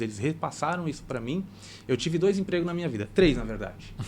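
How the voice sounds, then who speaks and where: Pitch moves in an ordinary way here. It's a man talking. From Brazil, Santa Catarina. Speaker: cooperative bank regional manager. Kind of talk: podcast interview.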